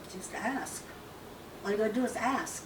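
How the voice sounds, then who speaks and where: A woman with noticeable background noise. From Lakota, South Dakota reservation community. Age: 70s. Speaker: Lakota elder. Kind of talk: interview answer, cultural teaching on grief.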